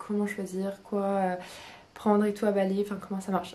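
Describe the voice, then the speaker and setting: Her voice sits at a medium pitch for a woman, with a dark, mellow tone. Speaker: lifestyle vlogger. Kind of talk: casual vlog talk. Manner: monotone; hesitant, many fillers.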